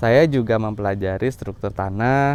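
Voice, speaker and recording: A man is speaking here. His fairly low pitch carries ordinary variation. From West Java, Bandung Regency. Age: 30s. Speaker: farmer. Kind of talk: self-presentation video for program application. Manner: formal.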